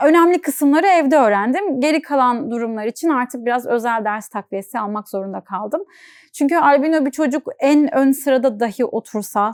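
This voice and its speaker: An ordinary speaking voice comes at a moderate pace with lively intonation. The sound is dry and close, with no echo. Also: woman, very clean recording, silent background. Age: 20s. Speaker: content creator with albinism. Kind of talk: interview.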